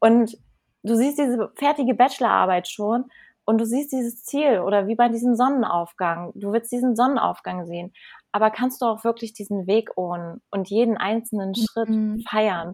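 A woman with a fairly high pitch uses an ordinary speaking voice at a moderate pace, with ordinary pitch variation. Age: 30s. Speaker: life coach and breathwork trainer. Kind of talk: casual interview. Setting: video call from Bali. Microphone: unstable internet connection, dropouts.

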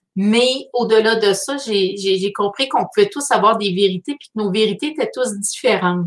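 A woman with a Quebec accent speaks at a moderate pace. Her fairly high voice has ordinary pitch variation. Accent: Québécois French. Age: 40s. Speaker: artist hosting a weekly live. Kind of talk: live stream monologue. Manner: halting.

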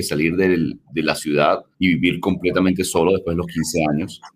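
At a moderate pace, a man talks with a very deep, low pitch that varies in an ordinary way. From Venezuela, Caracas. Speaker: tech company CEO. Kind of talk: interview conversation.

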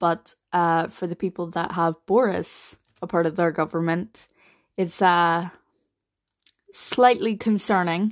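Against a quiet background, a woman with a Northern Irish accent speaks at a moderate pace and a fairly low pitch. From Northern Ireland. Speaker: podcaster, mental health advocate. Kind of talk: casual solo podcast monologue. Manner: hesitant, many fillers and repetitions.

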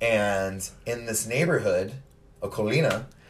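Over music in the background, a man at a medium pitch speaks at a fairly slow pace. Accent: American. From California. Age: 40s. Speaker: podcast host. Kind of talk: casual chat. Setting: at the guest's home.

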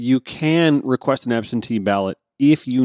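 A man with an American accent and medium pitch, in a very clean recording with a silent background and a dry, close sound with no echo. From US South, Augusta, Georgia. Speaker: radio host. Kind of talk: political commentary. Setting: home studio.

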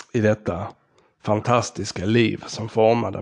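This man's medium-pitched voice crawls along at a very slow pace. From southern Sweden, Skåne (Ystad). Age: 40s. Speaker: podcast host. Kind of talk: personal storytelling monologue.

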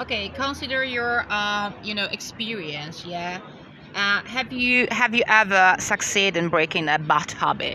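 A woman's medium-pitched voice with a Polish accent and lively intonation, at a fairly slow pace amid noticeable background noise. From Poland. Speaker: podcast co-host. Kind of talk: casual Q&A interview. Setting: outdoors by a river. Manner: halting, many fillers.

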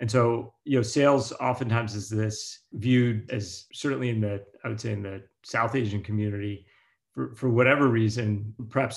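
On a very clean recording with a silent background, a man with an American accent speaks at a moderate pace and medium pitch, somewhat breathy, with fairly even intonation. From US, Pittsburgh. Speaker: venture capital investor. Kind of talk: interview.

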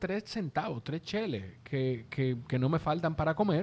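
Speaking with a slight Dominican accent, a man of fairly high pitch keeps a moderate pace and lively intonation. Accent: Dominican Spanish, mild. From Dominican Republic. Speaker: podcast producer and host. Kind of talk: casual chat. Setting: recording in person, on video.

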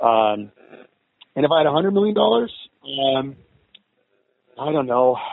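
Speaking at a moderate pace with long, frequent pauses, a man with a medium pitch uses lively intonation. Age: 50s. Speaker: film director and producer. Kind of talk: interview.

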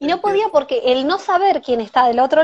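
A woman with lively intonation. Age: 20s. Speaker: event organizer and teacher. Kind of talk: casual interview. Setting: Instagram live stream on phone.

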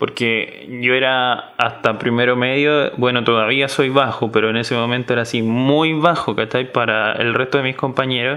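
A man with a Chilean accent talks at a moderate pace and medium pitch, with hardly any pauses. His intonation stays fairly even over noticeable background noise. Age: 20s. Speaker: podcast co-host. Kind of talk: casual chat.

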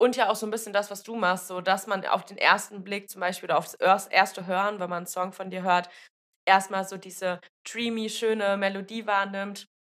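Her loudness swings widely while a woman keeps a monotone, flat intonation at a medium pitch and a moderate pace. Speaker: podcast host. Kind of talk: casual interview chat. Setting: video call.

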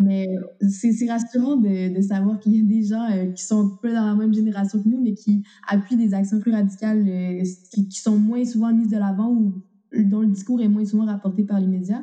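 The speaker has a Quebec accent and a monotone, flat intonation. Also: woman, fairly high pitch for a woman, moderate pace. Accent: Québécois French. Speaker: student activist. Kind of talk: interview.

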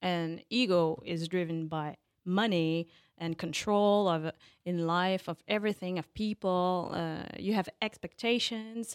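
In a French accent, a woman with a fairly low pitch speaks at a fairly slow pace, recorded very cleanly against a silent background with a dry, close sound and no echo. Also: fairly even intonation. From France (Paris). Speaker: life and business coach. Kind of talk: interview. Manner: halting.

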